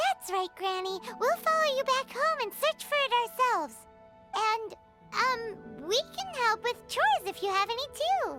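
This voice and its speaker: Clear music plays in the background as a put-on character voice, squeaky and extremely high in pitch, speaks at a moderate pace. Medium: video game. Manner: casual, curious.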